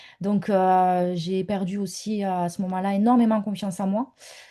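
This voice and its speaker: This is a woman speaking at a medium pitch. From southern France. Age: 30s. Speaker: online business mentor. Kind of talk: interview testimony. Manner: halting, many hesitations.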